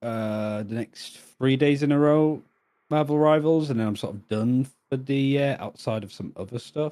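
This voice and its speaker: With a British accent, a man speaks at a moderate pace and medium pitch, with a dark, mellow tone and ordinary pitch variation. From northern England. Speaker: esports caster. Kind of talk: casual chat.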